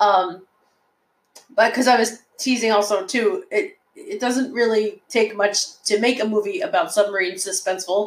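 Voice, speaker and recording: Her intonation lively, a woman speaks at a moderate pace and a fairly high pitch. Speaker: podcast co-host. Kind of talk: casual chat.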